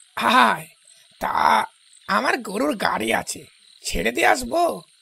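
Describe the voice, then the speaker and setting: In a put-on character voice, a man draws out his words at a very slow pace. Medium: audio drama. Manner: laughing, patronizing, hearty.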